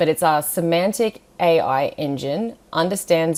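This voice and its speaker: With an Australian accent, a woman talks at a fairly slow pace in a fairly low pitch. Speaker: scientist presenting a software webinar. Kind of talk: webinar presentation. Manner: animated; casual.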